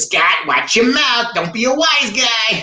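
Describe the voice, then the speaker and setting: The speaker uses a put-on character voice at a fairly high pitch. The delivery has a fairly slow pace. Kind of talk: stern, gruff.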